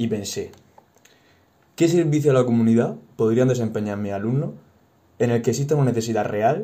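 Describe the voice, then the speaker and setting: A man's dark, mellow voice at a fairly quick pace, with ordinary pitch variation and audible room echo. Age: 20s. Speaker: university teacher. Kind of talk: podcast interview.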